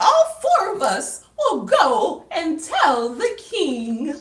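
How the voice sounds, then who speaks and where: An extremely high-pitched, put-on character voice at a very slow pace. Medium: read story. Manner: prim and proper.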